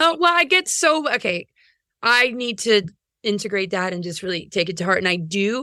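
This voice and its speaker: Recorded very cleanly against a silent background, a woman speaks at a medium pitch with very wide pitch swings and a bright, sharp tone. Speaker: astrologer and speaker. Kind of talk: casual chat. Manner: fast.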